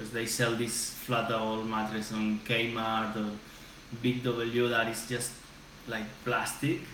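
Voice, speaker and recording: Recorded with audible room echo and noticeable background noise, a man speaks at a very slow pace. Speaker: co-host. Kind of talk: casual vlog chat. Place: home room. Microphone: webcam.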